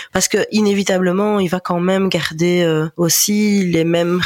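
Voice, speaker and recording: A fairly slow-paced woman at a medium pitch. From Belgian Ardennes, Libin. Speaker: family business employee. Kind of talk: interview. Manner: halting.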